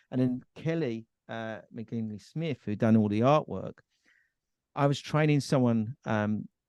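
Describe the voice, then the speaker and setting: In a normal speaking voice, a man talks at a fairly slow pace and medium pitch with ordinary pitch variation, the sound dry and close with no echo over a quiet background. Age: 50s. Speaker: energy business founder and children's author. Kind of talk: casual interview chat.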